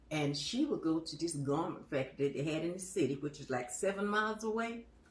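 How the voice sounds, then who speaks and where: Over noticeable background noise, a woman with a fairly low pitch speaks at a moderate pace, her pitch swinging very widely. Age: 90s. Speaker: elderly storyteller. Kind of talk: casual interview. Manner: halting.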